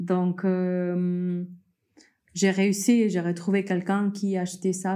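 A woman's fairly low, dark, mellow voice on a very clean recording with a silent background. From Peru. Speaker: coffee entrepreneur. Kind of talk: interview conversation. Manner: hesitant with fillers.

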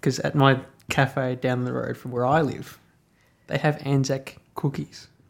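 Using an Australian accent, a man speaks fairly slowly in a monotone, flat intonation. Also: medium pitch for a man. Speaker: podcast host. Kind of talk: interview.

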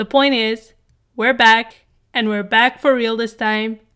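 Moving at a fairly slow pace, a woman with a fairly high pitch speaks in a plain, everyday voice. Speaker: podcast host. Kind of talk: casual interview chat.

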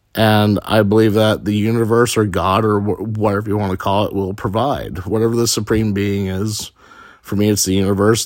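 A man with an unremarkable speaking voice talks at a fairly quick pace in a fairly low pitch with fairly even intonation, on a very clean recording with a silent background. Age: 30s. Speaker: podcaster. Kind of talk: personal monologue.

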